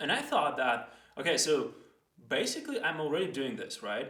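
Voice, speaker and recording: Audible room echo surrounds a man with a non-native accent and a bright, sharp tone. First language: not English. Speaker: educational video host. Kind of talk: casual explainer monologue. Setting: recording himself in front of a camera. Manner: hesitant, with fillers and restarts.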